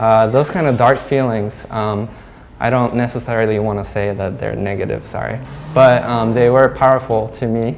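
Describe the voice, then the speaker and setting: A man with a Japanese accent speaks at a fairly slow pace and medium pitch. His intonation stays fairly even against noticeable background noise. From Hong Kong, Japanese community. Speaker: glass artist. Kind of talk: artist talk. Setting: gallery with audience. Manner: halting, many fillers.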